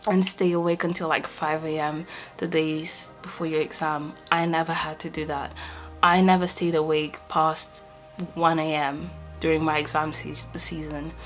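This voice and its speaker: Over faint background music, a woman with a Portuguese accent talks at a moderate pace, her very deep, low voice flat and monotone. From Portugal. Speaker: medical student; student vlogger. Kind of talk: casual talk to camera. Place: home room.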